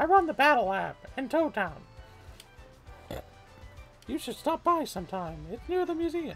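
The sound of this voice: With clear music in the background, a high-pitched put-on character voice speaks at a moderate pace, pausing long and often.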